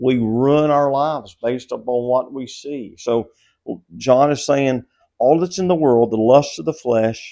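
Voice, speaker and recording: This man talks at a fairly slow pace in a Southern US accent. His tone is dark and mellow, at a medium pitch with ordinary pitch variation. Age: 60s. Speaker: pastor. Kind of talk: devotional Bible teaching. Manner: conversational.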